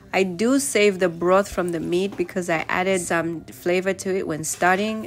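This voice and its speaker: A woman's medium-pitched voice with ordinary pitch variation, and music in the background. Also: moderate pace. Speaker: family vlogger. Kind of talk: voiceover narration of cooking video.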